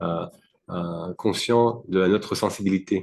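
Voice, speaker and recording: A man's voice, fairly low in pitch, is heard over a quiet background. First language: not French (speaking French). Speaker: devotee, temple community member. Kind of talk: interview. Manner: halting, many fillers.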